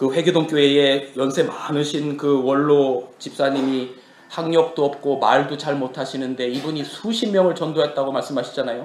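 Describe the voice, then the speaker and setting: A man with a fairly high voice speaks at a moderate pace in a fairly even tone, with audible echo from the room. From Korea, Chungcheong province. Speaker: pastor. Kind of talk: sermon. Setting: church.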